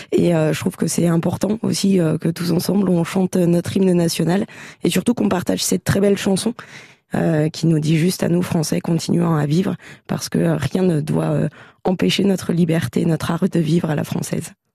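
A woman with a fairly low pitch speaks at a moderate pace, her intonation fairly even and her voice showing vocal fry. Her tone is dark and mellow, and the sound is dry and close with no echo. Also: very even loudness. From France, Champagne-Ardenne (Châlons-en-Champagne). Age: 30s. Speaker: member of parliament. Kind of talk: radio interview.

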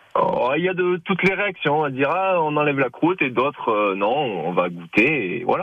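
At a moderate pace with hardly any pauses, a fairly high-pitched man makes very wide pitch swings while keeping his loudness very even. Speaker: dairy farmer and cheesemaker. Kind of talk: radio interview. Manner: halting.

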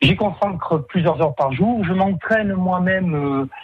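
This man's speech shows ordinary pitch variation, with noticeable background noise behind it. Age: 40s. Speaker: triathlon club president. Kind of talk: radio interview. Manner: halting.

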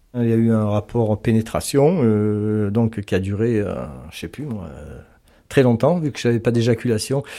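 A man speaks fairly slowly at a medium pitch in a dark, mellow tone, with ordinary pitch variation and big swings in loudness. The recording is very clean, with a silent background. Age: 60s. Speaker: retired electrician. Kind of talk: personal testimony. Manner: halting.

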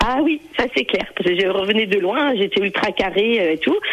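A woman speaks at a medium pitch and a fairly quick pace with lively intonation. Noticeable background noise can be heard. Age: 50s. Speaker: caller. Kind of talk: phone-in testimony. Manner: joyful, laughing.

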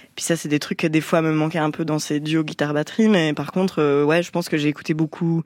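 A woman talks at a fairly quick pace with hardly any pauses. Her pitch is very deep and low, and her intonation is monotone and flat. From French-speaking Switzerland. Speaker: musician. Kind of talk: radio interview. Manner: casual.

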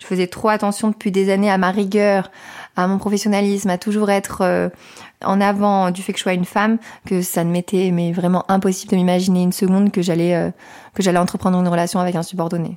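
A woman speaks at a very fast pace in a monotone, flat intonation. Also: medium pitch for a woman, very clean recording, silent background. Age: 20s. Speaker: soldier. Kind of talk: testimony. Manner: halting.

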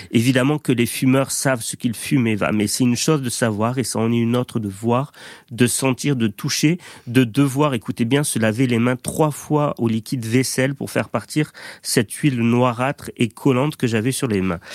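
A man talks in an unremarkable speaking voice at medium pitch and a moderate pace, with fairly even intonation. The sound is dry and close with no echo. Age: 30s. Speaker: doctor and radio columnist. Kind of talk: radio chronicle.

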